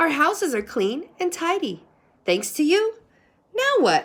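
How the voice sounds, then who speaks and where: Putting on a character voice, a woman speaks at a fairly slow pace in an extremely high pitch with very wide pitch swings. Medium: read story.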